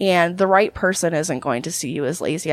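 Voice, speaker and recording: This woman's voice shows ordinary pitch variation. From Canada. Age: 20s. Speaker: adult film performer. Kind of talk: interview.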